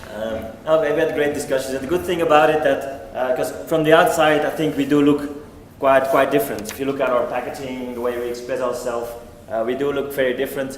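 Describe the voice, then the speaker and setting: A man with a Belgian accent talks fairly quickly at a fairly high pitch. There is audible room echo and noticeable background noise. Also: fairly even intonation. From Belgium. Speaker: company executive. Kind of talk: conference talk.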